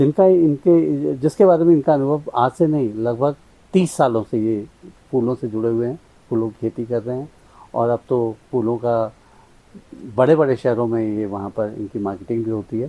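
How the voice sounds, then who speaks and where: With a dark, mellow tone and lively intonation, a man speaks at a medium pitch. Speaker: agriculture show host. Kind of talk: interviewer talk.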